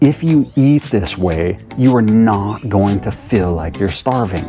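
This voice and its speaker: A man talks over clear music in the background. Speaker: diet vlogger. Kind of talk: casual vlog chat. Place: garden. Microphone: lapel.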